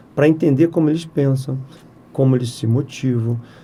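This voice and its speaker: This man's voice sits fairly high in pitch. It has a dark, mellow tone and sounds somewhat breathy. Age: 60s. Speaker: software company president. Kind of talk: podcast interview.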